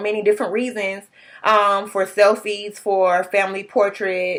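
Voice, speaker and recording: At a moderate pace, a woman talks with a medium-pitched voice. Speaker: student. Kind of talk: class presentation. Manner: casual, hesitant with fillers.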